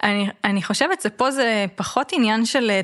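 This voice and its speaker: At a moderate pace, a woman with an unremarkable speaking voice talks at medium pitch with ordinary pitch variation. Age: 30s. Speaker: gerontologist and age-tech lab director. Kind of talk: interview.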